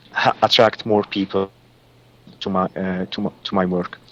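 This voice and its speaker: The sound is dry and close with no echo as a man with a non-native accent speaks at a fairly slow pace. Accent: foreign. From Lebanon. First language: Arabic. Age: 40s. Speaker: psychic reader and healer. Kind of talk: radio interview. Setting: Skype call. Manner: halting, many fillers.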